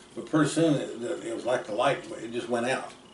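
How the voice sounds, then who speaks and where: A man with an American accent at a very fast pace, amid noticeable background noise and audible room echo. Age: 60s. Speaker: storyteller relative. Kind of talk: casual storytelling. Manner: halting.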